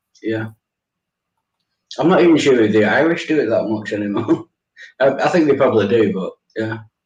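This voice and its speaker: Somewhat breathy and medium in pitch, a man talks at a fairly quick pace with lively intonation and long, frequent pauses. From northern England, Manchester. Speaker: live stream guest. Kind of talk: casual chat.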